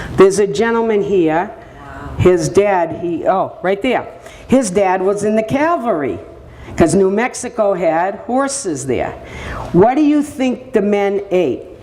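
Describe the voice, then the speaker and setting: A woman with an American accent speaks fairly slowly at a medium pitch, swinging very widely up and down. Noticeable background noise and audible room echo fill the recording. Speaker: speaker, daughter of a war veteran. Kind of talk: public presentation. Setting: senior center audience. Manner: animated.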